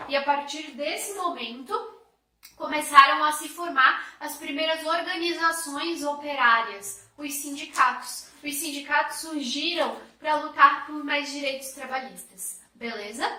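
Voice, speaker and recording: A woman speaks at a fairly slow pace in a raised, projected voice with a high pitch. Her loudness swings widely, and audible room echo is present. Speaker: history teacher. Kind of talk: lecture. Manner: animated.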